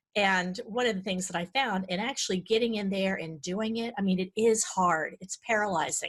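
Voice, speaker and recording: A woman's medium-pitched voice is somewhat breathy, with ordinary pitch variation. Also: moderate pace, hardly any pauses. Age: 50s. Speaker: decluttering coach and author. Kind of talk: podcast interview. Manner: halting.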